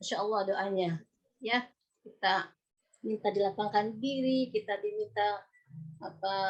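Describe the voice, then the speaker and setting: A woman with a fairly high pitch, a fairly slow pace and a normal speaking voice. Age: 50s. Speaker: religious preacher. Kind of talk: religious lecture. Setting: video call. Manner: conversational.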